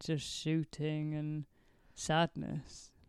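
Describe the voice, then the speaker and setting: Against a quiet background, a woman speaks in a playful tone. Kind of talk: casual chat. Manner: playful, laughs often.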